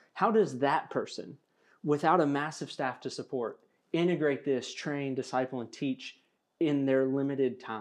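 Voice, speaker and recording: Against a quiet background, a man talks at a moderate pace with a normal speaking voice. His pitch is fairly high, with ordinary variation. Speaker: seminary administrator and student, podcast host.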